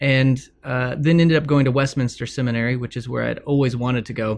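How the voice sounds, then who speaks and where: With an ordinary speaking voice and an American accent, a man speaks in a medium pitch. His intonation is fairly even and his pace moderate. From Texas. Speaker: author and former pastor. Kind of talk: interview conversation.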